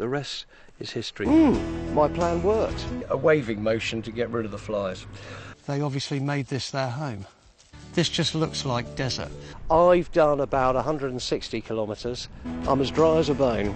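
A man at a moderate pace with very wide pitch swings, in a dry sound with no echo and clear music in the background. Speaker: TV presenter. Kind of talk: travel show presenting. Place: open country. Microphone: lapel.

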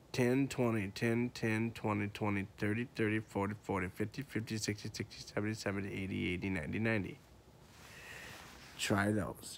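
A man with a plain, everyday voice, fairly low in pitch, fairly even in intonation and fairly quick, over light background noise. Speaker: auctioneer. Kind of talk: auctioneer tutorial to camera, casual. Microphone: phone near.

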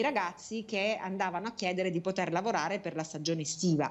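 The voice belongs to a woman. It has a medium pitch. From southern Italy, Taranto. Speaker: national politician. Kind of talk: political interview. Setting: video call. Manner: hesitant, many fillers. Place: home room. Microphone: earbuds.

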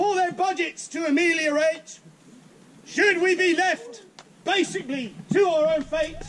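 Over light background noise, a man talks at a fairly slow pace with long, frequent pauses and ordinary pitch variation. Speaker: town crier. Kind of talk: town crier proclamation in rhyming verse to a crowd. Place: street. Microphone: camera far.

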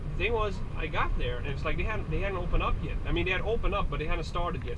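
Loud background noise accompanies a man who talks very fast. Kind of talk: casual vlog chat. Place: car. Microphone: camera far.

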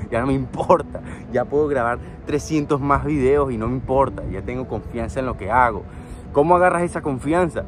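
A man talks at a moderate pace. Faint music sounds behind him. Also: dry sound with no echo. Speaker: fitness vlogger. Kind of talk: motivational vlog talk. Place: waterside. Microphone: phone near.

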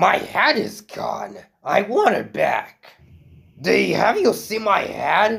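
Raspy is the word for this man's voice. He speaks at a very slow pace. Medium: fan dub. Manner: polite, then mournful, then furious.

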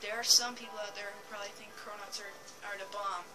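A woman talks at a moderate pace in a monotone, flat intonation. Music plays in the background. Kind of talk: casual gameplay commentary. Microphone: phone near.

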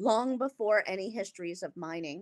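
A woman with an American accent and lively intonation against a quiet background. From US West Coast, California. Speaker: art historian; guest lecturer. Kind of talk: lecture. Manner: slow; hesitant, many fillers. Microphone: video call.

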